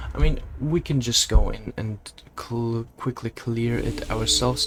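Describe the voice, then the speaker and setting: Over noticeable background noise, a man with a non-native accent speaks at a fairly slow pace. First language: not English. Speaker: gaming youtuber. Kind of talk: let's play commentary. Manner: casual; halting.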